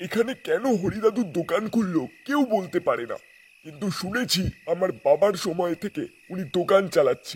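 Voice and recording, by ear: Here a man uses a put-on character voice pitched high, at a moderate pace. The recording is very clean, with a silent background.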